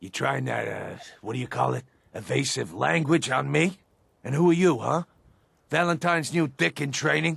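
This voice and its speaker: Using a raspy, put-on character voice at a medium pitch, a man speaks at a moderate pace with long, frequent pauses. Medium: video game. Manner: sneering, aggressive.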